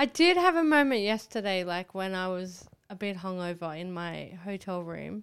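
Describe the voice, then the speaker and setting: In an Australian accent, a woman speaks at a medium pitch and moderate pace with ordinary pitch variation, big swings in loudness and hardly any pauses. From Australia, Northern Rivers NSW. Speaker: comedian. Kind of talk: casual chat.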